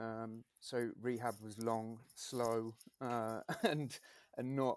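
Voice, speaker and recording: A soft-spoken voice comes through as a dry, close sound with no echo. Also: man. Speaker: endurance runner and coach. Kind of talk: casual chat. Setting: home gym.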